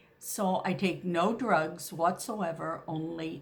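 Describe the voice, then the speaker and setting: Amid audible room echo, a woman speaks very slowly with vocal fry at a fairly low pitch. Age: 70s. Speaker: naturopathic doctor and reflexologist. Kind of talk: health tips talk to camera. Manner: hesitant, frequent fillers.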